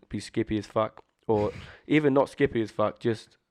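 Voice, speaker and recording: A man's fairly low voice moves at a fairly quick pace against a quiet background. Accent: southern English. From southern England, Bournemouth. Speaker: rapper. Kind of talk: casual chat. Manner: fast.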